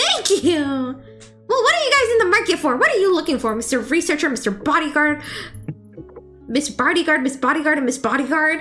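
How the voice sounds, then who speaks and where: Over clear music in the background, a female-sounding voice in a high-pitched put-on character voice moves at a fairly quick pace. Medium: actual play. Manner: bubbly, enthusiastic.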